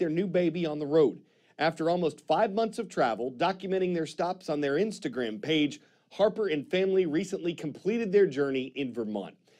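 Here a man talks in a high voice. His pace is fairly quick against a quiet background. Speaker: news anchor. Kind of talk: news presentation. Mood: playful, punny sign-off. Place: studio.

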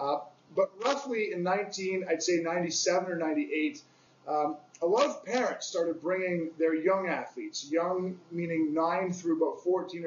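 Noticeable background noise sits behind this man. He speaks with a Canadian accent and a high voice. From Canada (Toronto). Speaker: youth fitness coach and association founder. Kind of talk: interview. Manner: halting, many fillers.

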